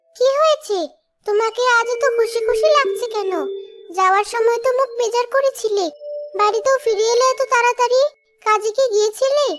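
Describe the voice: Using a cartoonish character voice, a woman speaks at an extremely high pitch with ordinary pitch variation, very even loudness and a moderate pace.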